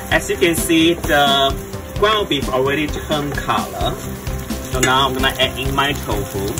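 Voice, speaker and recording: A man talks at a moderate pace while clear music sounds in the background. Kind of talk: tutorial. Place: boat. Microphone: phone near.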